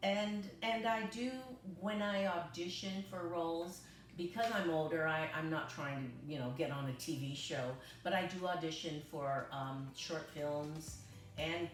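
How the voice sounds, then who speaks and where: A woman's fairly low, lively voice at a fairly slow pace, with audible room echo and noticeable background noise. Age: 60s. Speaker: patient testimonial, retired amateur actress. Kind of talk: testimony. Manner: halting, many fillers.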